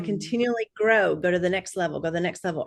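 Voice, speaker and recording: The voice is an unremarkable speaking voice with ordinary pitch variation. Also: woman. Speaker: speaker coach. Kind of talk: interview answer, coaching talk.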